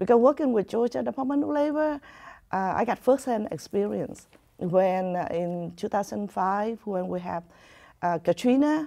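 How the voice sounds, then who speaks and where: A woman with a Vietnamese accent, a medium pitch and a dark, mellow tone, very wide pitch swings, a moderate pace, and a quiet background. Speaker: community advocate. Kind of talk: interview. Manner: halting.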